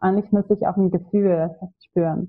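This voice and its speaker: In a Swedish accent, a woman speaks at a medium pitch with monotone, flat intonation. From Sweden. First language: Swedish (speaking German). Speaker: ayurveda practitioner. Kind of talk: podcast interview.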